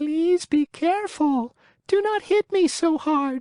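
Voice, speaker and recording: A put-on character voice at a high pitch moves at a fairly slow pace. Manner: pleading, beseeching.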